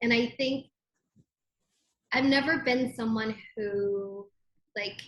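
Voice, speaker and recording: A woman speaks at a very slow pace, her fairly high voice somewhat breathy. Her intonation stays fairly even. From immigrant. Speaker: footwear designer. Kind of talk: interview.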